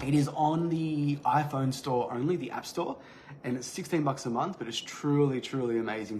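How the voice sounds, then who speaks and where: A man's fairly high voice is somewhat breathy, and his pitch varies in an ordinary way. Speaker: fitness business coach. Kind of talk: live training talk. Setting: livestream. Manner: fast, occasional stutter; casual, unscripted.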